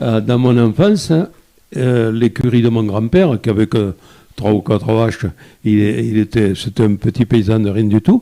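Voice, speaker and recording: Speaking at a fairly slow pace, a man with a dark, mellow tone keeps his loudness very even and his pitch variation ordinary, in a dry, close sound with no echo. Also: medium pitch for a man. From France, Lozère (rural). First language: Occitan patois (speaking French). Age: 80s+. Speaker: photographer. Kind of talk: interview. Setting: live video broadcast. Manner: halting, many repetitions.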